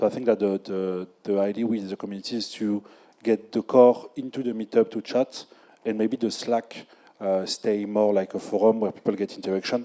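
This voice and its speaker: A man's fairly low, dark and mellow voice with a French accent, monotone and flat in intonation, at a moderate pace. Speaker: community organizer. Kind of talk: panel discussion. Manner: halting.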